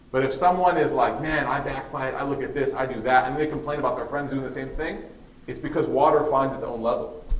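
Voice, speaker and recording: Noticeable background noise and audible room echo around a man's medium-pitched voice at a fairly quick pace. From US Midwest, Chicago. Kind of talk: religious talk to students. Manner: casual, conversational.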